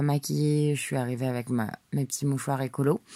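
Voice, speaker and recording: A woman speaks with a very deep, low pitch and a dark, mellow tone. Her intonation is fairly even, and the recording is very clean with a silent background. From France, Paris. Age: 30s. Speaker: podcaster. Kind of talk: solo audio diary. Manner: casual, hesitant.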